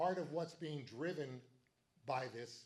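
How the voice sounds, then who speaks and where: Breathiness runs somewhat through this man's voice. It sits fairly high in pitch. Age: 70s. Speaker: political party meeting chair. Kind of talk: meeting speech. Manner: animated.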